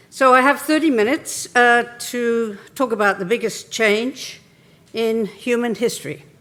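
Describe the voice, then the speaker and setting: The speaker talks in an English accent at a fairly slow pace. Pitch varies in an ordinary way. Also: woman, fairly high pitch for a woman. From England. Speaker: keynote speaker on regenerative tourism. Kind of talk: conference keynote talk.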